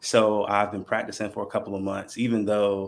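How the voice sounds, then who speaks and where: A man with a Southern US accent and a fairly low pitch speaks at a moderate pace in a monotone, flat intonation. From North Carolina (Burlington). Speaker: mental health counselor. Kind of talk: podcast panel introduction. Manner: halting, many fillers.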